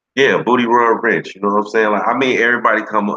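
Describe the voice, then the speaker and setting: A man with a bright, sharp tone speaks at a very fast pace. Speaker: livestream host, former radio personality. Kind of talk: casual chat. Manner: laid back.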